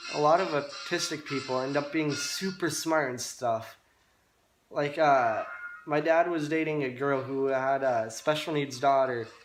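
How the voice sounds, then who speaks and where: Against music in the background and audible room echo, a man talks at a fairly slow pace in a fairly high pitch with fairly even intonation. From Italy. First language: Italian (bilingual with English). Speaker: vlogger. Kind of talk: personal vlog monologue. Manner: halting, frequent restarts and fillers.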